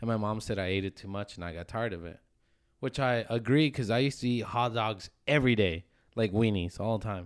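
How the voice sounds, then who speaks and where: In a normal speaking voice, a man with an American accent talks at a fairly quick pace and fairly low pitch with ordinary pitch variation, on a very clean recording with a silent background. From Phoenix, Arizona, US. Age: 20s. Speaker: podcast co-host. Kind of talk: casual chat. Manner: joking, casual.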